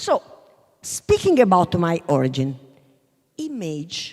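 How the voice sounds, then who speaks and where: Over music in the background, a woman with a southern Italian accent speaks at a very slow pace in a fairly low pitch with very wide pitch swings. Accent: Taranto Italian accent in English. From Taranto, southern Italy. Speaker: business school professor. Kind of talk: panel talk. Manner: halting.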